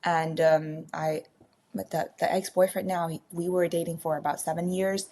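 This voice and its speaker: A woman with a Burmese accent speaks at a moderate pace in a dark, mellow tone with a fairly low pitch. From Myanmar. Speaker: baker and former accountant. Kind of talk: podcast interview. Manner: halting, many fillers.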